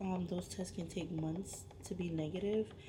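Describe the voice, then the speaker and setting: Recorded with audible room echo and noticeable background noise, a woman talks at a moderate pace in a fairly low pitch with ordinary pitch variation. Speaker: vlogger, mother of a preemie in NICU. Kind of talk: casual vlog. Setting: hospital NICU room. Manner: soft-spoken.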